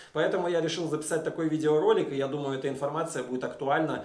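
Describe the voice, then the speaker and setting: Very fast speech with ordinary pitch variation carries audible room echo. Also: man. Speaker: vlogger. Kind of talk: casual vlog talk to camera. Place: home room.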